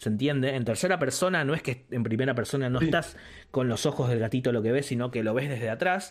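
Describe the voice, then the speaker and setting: Very fast speech at very even loudness, with ordinary pitch variation. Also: man, medium pitch for a man. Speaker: podcast co-host. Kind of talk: casual chat. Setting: live stream.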